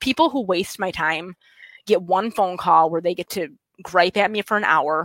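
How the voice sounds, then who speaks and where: Speaking with a West Michigan accent, a woman keeps a medium pitch, ordinary pitch variation and a moderate pace. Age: 30s. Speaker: state party chair. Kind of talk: casual interview. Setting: video call.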